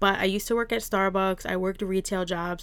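On a very clean recording with a silent background, a woman with an American accent speaks fairly quickly in a normal speaking voice at medium pitch. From New Jersey. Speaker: beauty salon owner and podcaster. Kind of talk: solo podcast monologue.

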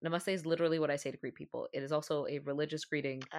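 A woman with a Canadian accent speaks in a very deep, low voice with fairly even intonation. The recording is very clean and the background silent. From Canada. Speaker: podcast co-host. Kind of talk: casual chat.

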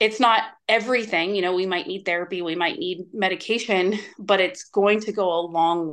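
A woman with an unremarkable speaking voice talks at a moderate pace with hardly any pauses, her medium pitch showing ordinary variation. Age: 40s. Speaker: nutrition coach. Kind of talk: casual interview.

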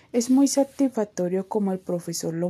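Dark and mellow in tone, the voice moves at a fairly slow pace with ordinary pitch variation in a very clean recording with a silent background. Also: woman. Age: 20s. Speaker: university student. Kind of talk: scripted narration.

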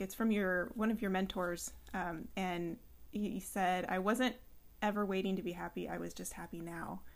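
A normal speaking voice with an American accent. The pace is fairly slow, and the pitch varies in an ordinary way. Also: woman. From California, San Luis Obispo. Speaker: podcast host and personal trainer. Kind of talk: interview.

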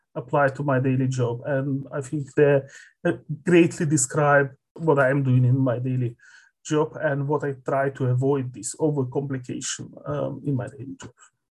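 A somewhat breathy, fairly high-pitched male voice, flat and monotone, at a moderate pace. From Moldova. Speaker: development program specialist. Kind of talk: interview. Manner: halting.

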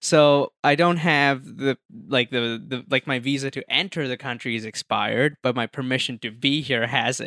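A man with an Indian accent speaks with hardly any pauses in a bright, sharp tone on a very clean recording with a silent background. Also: medium pitch for a man, moderate pace. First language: Hindi. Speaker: magician and filmmaker. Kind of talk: casual chat.

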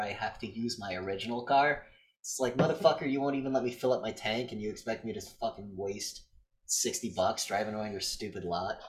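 A man talks fairly quickly in a normal speaking voice. His pitch is medium, with ordinary variation. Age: 30s. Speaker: podcast co-host. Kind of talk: casual chat.

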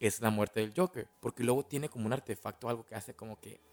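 In a Mexican accent, a man speaks with ordinary pitch variation in a dry, close sound with no echo. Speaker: podcast host. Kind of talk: film analysis monologue. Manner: casual.

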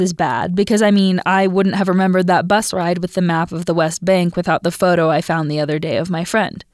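On a very clean recording with a silent background, a woman at medium pitch uses an ordinary speaking voice with ordinary pitch variation. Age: 20s. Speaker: student podcast host. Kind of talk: scripted narration.

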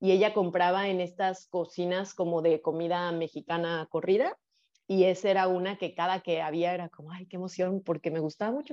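A woman with a normal speaking voice and a medium pitch talks at a fairly quick pace. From Mexico, Guadalajara, Jalisco. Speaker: sex educator and psychologist. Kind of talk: casual interview, personal testimony.

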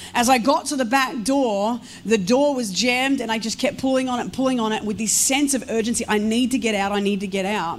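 Speaking at a fairly quick pace with hardly any pauses, a woman uses a fairly high pitch and ordinary pitch variation amid audible room echo. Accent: Australian. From Australia, Melbourne and rural Victoria. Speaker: guest pastor. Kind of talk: sermon. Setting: church service with congregation.

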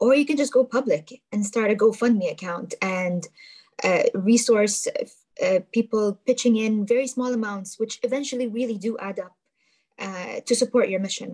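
Somewhat breathy and dark, mellow in tone, a woman speaks at a moderate pace with a fairly high pitch and ordinary pitch variation. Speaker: youth ambassador. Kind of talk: webinar talk. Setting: video call.

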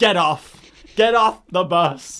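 The speaker is a man. The recording is very clean and the background silent. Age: 20s. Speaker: podcast host. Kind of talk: casual chat. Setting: studio.

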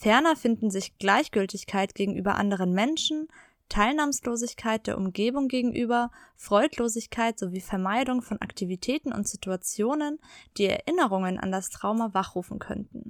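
In a very clean recording with a silent background and a dry, close sound with no echo, a woman uses an ordinary speaking voice at a fairly high pitch, with ordinary pitch variation and a moderate pace. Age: 30s. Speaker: podcast host. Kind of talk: personal testimony. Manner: scripted, read-aloud delivery.

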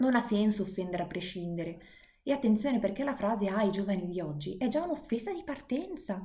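A woman with a dark, mellow tone speaks at a medium pitch and a fairly quick pace, her voice somewhat breathy and her intonation lively. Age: 20s. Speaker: podcaster and private tutor. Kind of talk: monologue lesson.

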